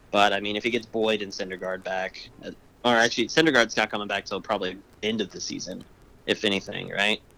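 A bright, sharp tone at a very fast pace with fairly even intonation. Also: man, fairly low pitch for a man. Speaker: restaurant worker and fantasy league co-host. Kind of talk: casual chat.

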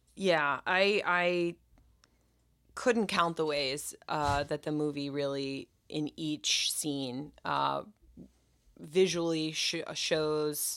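A woman speaks with an American accent in a very deep, low pitch and fairly even intonation. The recording is very clean, with a silent background. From Philadelphia. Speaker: movie podcast host. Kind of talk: casual chat.

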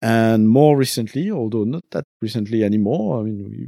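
A man with a French accent talks at a moderate pace. His pitch is medium and his tone dark and mellow. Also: dry, close sound with no echo. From French-speaking country. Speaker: podcaster and game designer. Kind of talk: casual interview. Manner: hesitant, many fillers.

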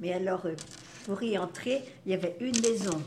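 A woman with ordinary pitch variation amid noticeable background noise. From Brittany, France. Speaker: grandmother sharing memories. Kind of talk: casual group conversation. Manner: halting, repeats words.

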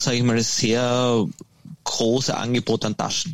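A man's voice at a medium pitch. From Austria. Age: 20s. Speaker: golf company founder. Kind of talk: interview.

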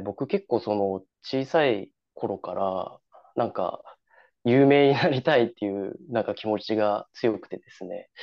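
This man talks at a fairly slow pace with a medium pitch, ordinary pitch variation and big swings in loudness. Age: 20s. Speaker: amateur obstacle racer. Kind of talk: casual interview. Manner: halting.

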